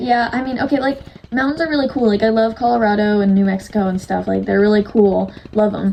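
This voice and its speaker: Against noticeable background noise, a woman talks in an animated tone at a fairly quick pace. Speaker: YouTuber co-host. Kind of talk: casual chat. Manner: fast.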